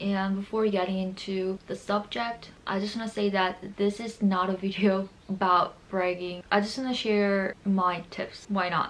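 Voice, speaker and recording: A woman with a Korean accent talks at a fairly slow pace in a flat, monotone way, with hardly any pauses. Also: medium pitch for a woman. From Seoul, South Korea. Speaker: lifestyle YouTuber. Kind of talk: casual talk to camera.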